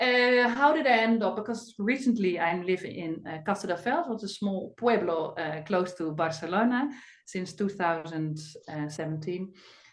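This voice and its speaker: A woman with a Dutch accent speaks at a medium pitch, her intonation lively. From Netherlands. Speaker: medical doctor, women's health expert. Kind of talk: webinar talk. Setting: online webinar. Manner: hesitant, many fillers.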